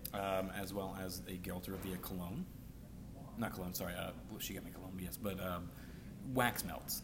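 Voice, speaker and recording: A man talks at a moderate pace with a fairly low pitch and a bright, sharp tone. Room echo is audible. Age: 20s. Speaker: podcast host. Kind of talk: casual chat. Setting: bar or cafe with live band.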